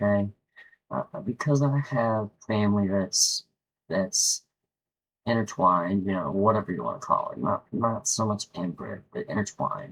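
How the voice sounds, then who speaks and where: A man talks at a moderate pace, recorded dry and close with no echo. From West Virginia. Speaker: YouTuber. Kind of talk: casual monologue. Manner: halting, frequent repetitions.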